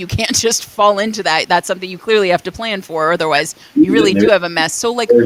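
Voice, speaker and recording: A woman at a medium pitch with lively intonation, over noticeable background noise. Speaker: interviewer and singer in a cover band. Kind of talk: casual interview.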